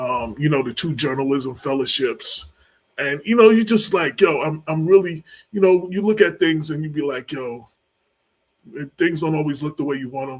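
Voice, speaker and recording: A man's fairly high voice at a moderate pace, with ordinary pitch variation and big swings in loudness. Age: 60s. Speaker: journalist and talk show co-host. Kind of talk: casual chat. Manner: halting, repetitive.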